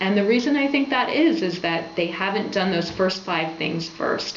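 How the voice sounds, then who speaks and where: Through noticeable background noise and audible room echo, a woman with a medium pitch speaks at a moderate pace with lively intonation. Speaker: health blogger. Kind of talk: informational talk to camera.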